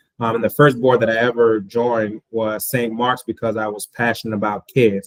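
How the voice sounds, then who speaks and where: Recorded with a dry, close sound and no echo, a man with a Haitian accent speaks at a medium pitch with fairly even intonation. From Florida. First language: Haitian Creole. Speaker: school board candidate. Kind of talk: interview. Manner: hesitant with fillers.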